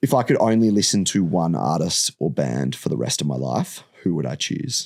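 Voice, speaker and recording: Loud, very deep and low male voice with an Australian accent, very wide pitch swings, vocal fry, and a moderate pace. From Perth, Western Australia. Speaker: host's partner. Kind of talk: casual chat. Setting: studio.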